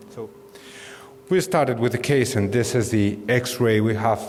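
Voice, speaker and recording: Audible room echo and noticeable background noise surround a man speaking at a fairly slow pace, with a medium pitch and ordinary pitch variation. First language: Spanish. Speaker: dentist. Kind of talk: lecture. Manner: halting.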